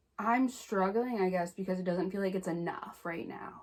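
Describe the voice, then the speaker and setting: This woman has an American accent. Her pitch is fairly low. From Indiana, US Midwest. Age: 20s. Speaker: vlogger. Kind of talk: casual chat.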